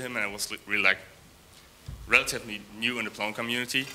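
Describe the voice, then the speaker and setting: A man at medium pitch talks at a very fast pace with a non-native accent, his bright, sharp tone monotone and flat. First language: not English. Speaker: software developer. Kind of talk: conference talk. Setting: stage with audience. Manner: halting, many fillers and repeats.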